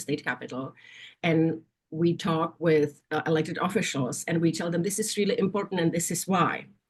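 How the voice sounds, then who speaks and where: A woman speaks in a fairly low voice at a moderate pace. Her intonation is fairly even. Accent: Czech. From Czechoslovakia. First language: Czech. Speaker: nursing association executive. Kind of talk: interview. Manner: halting.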